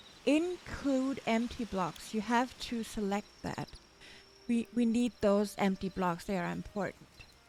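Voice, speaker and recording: Her pace is fairly slow. The woman's voice is fairly high, with ordinary pitch variation. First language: German. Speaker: gaming tutorial creator. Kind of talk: tutorial. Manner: halting.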